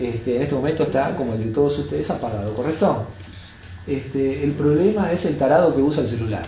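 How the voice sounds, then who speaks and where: Audible room echo surrounds a man with a fairly high pitch. He speaks at a fairly quick pace with lively intonation. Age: 70s. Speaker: yoga teacher. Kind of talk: talk to an audience. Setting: bookshop talk with audience.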